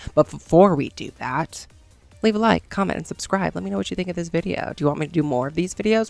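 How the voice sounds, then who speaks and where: This voice has vocal fry and an American accent. Its pitch swings very widely. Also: woman. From United States. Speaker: gaming YouTuber. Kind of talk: casual video commentary. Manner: animated.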